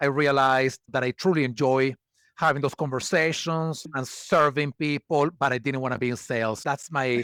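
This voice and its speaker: On a very clean recording with a silent background and a dry, close sound with no echo, a man with a Venezuelan accent and a fairly high pitch speaks at a moderate pace with fairly even intonation. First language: Spanish. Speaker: HR expert and community builder. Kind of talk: podcast interview.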